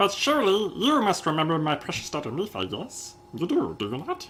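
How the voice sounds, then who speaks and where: A man in a put-on character voice, high in pitch with very wide pitch swings, over clear background noise. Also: fairly quick pace. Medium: game stream. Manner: effusive.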